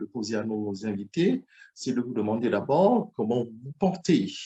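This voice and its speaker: A man speaks with a dark, mellow tone and a somewhat breathy quality. His pitch swings very widely. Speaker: talk show host. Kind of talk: interview. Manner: halting, many fillers.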